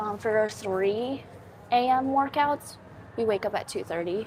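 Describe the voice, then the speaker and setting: Noticeable background noise sits behind a woman speaking at a moderate pace, her fairly high voice moving with lively intonation. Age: 20s. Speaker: fitness trainer and content creator. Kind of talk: live-stream chat while working out. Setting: gym, live stream. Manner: casual, chatty.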